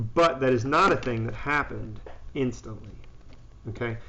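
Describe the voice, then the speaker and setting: Audible room echo hangs around a man's speaking voice. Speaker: high school physics teacher. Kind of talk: live-streamed classroom review and pep talk. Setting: live stream. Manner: loud, confident.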